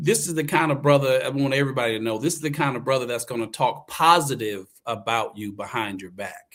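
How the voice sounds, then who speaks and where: In a Southern US accent, a man speaks at a medium pitch and a fairly quick pace. There are hardly any pauses, and the loudness swings widely. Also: ordinary pitch variation. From US South, eastern North Carolina. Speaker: actor and acting coach. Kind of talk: casual interview chat.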